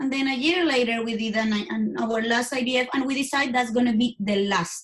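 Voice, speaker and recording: Her pitch high for a woman, she talks at a moderate pace with ordinary pitch variation. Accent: Spanish. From Colombia. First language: Spanish. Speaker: IVF coach. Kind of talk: interview. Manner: halting.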